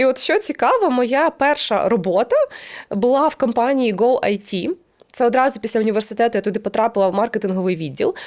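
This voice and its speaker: Fairly quick and very even in loudness, a woman with a fairly high pitch uses a normal speaking voice. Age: 30s. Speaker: YouTuber and business owner. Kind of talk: casual monologue to camera.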